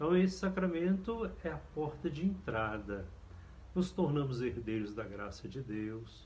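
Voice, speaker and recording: A man talks fairly slowly at a medium pitch, with very wide pitch swings. Room echo is audible. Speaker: priest. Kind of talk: catechesis lecture.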